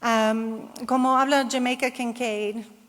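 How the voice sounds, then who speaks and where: Very slowly and in a monotone, flat way, a woman speaks with a non-native accent. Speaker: geographer, researcher. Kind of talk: conference Q&A answer. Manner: halting.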